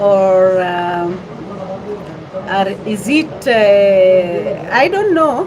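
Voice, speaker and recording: A woman with a Kenyan accent speaks with very wide pitch swings. There is audible room echo and noticeable background noise. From western Kenya. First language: Luyia. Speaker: vlogger. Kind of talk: casual live-stream chat. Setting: restaurant in Nairobi town centre. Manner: halting.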